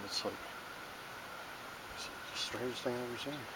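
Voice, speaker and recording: The man's voice is pitched at a medium level. Background noise is noticeable throughout. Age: 50s. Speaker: amateur digger and handyman. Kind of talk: casual monologue while digging. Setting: outdoors. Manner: halting, repetitive.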